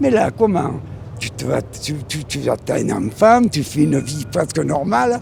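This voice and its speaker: A man's voice with very wide pitch swings amid noticeable background noise. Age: 80s+. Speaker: passerby interviewed in street poll. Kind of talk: street interview. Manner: animated.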